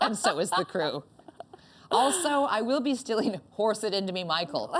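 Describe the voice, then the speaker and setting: A woman with a Canadian accent talks at a moderate pace in an animated tone, her fairly high pitch making very wide swings. Noticeable background noise can be heard. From Northern Ontario, Canada. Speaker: comedian and talk show host. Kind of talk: comedic interview chat. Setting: stage.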